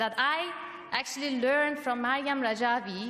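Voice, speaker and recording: The speech comes at a fairly slow pace with ordinary pitch variation, against noticeable background noise. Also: woman. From Europe, of Iranian family. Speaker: political activist. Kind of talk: rally speech. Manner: halting, many fillers.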